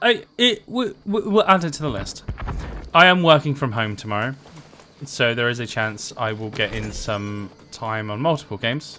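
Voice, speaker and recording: A man with an American accent, at a moderate pace, with very wide pitch swings. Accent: sometimes mistaken for American by viewers. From UK. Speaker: gaming livestreamer. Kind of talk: casual live gameplay commentary. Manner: hesitant, many fillers.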